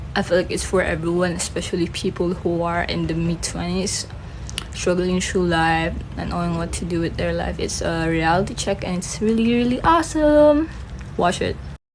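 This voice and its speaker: A woman with a Filipino accent at a moderate pace, amid audible room echo and noticeable background noise. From Philippines. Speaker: film reviewer, vlogger. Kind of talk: casual chat. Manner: halting.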